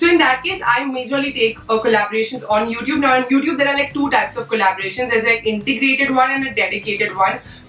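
Over light background noise and audible room echo, a woman speaks at a very fast pace in a high pitch, with ordinary pitch variation and hardly any pauses. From India. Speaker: beauty YouTuber. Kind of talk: casual vlog talk to camera. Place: home room.

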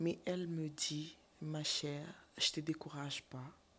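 A woman's somewhat breathy voice sits at a very deep, low pitch. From DR Congo. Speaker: actress and TikToker; actress. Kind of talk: interview, casual chat. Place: studio. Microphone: studio mic.

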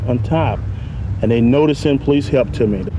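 Moderately paced male speech amid noticeable background noise. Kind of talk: demonstration explaining equipment to children. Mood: friendly, patient. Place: open country.

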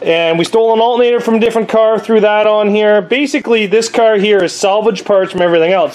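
Speaking very fast, a man with a high pitch uses ordinary pitch variation. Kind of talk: casual vlog chat. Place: garage. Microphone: phone near.

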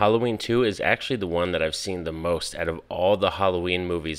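The background is quiet as a man with a very deep, low pitch talks. His pace is fairly quick and his intonation fairly even. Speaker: movie reviewer. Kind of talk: casual vlog chat. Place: home room. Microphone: studio mic.

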